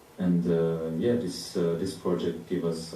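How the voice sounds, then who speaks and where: A man with a non-native accent speaks at a very deep, low pitch. Audible room echo surrounds his voice. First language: not English. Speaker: artist. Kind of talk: panel discussion. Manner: halting.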